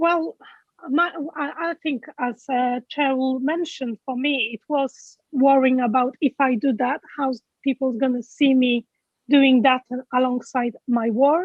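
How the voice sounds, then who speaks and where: A woman with a Polish accent, high in pitch, at a fairly slow pace and with fairly even intonation. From Poland. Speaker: event speaker, health group leader. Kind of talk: interview at online awards event. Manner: halting, many fillers.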